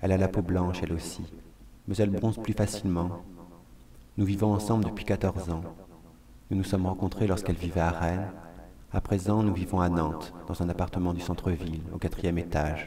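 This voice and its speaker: Using a very deep, low pitch and a dark, mellow tone, a man talks at a fairly quick pace with monotone, flat intonation and long, frequent pauses. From France (Vendée). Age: 30s. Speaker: performer, monologue artist. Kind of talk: scripted monologue.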